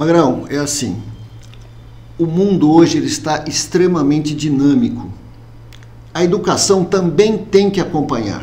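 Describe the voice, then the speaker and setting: A man with a fairly high voice speaks at a fairly slow pace with lively intonation and long, frequent pauses. Audible room echo and noticeable background noise are present. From Brazil, Americana (São Paulo state). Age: 60s. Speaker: mayoral candidate. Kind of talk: interview.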